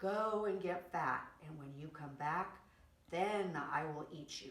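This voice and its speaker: Using a put-on character voice, a woman with a fairly low pitch speaks at a fairly slow pace with ordinary pitch variation and big swings in loudness, with a slight echo. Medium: read story.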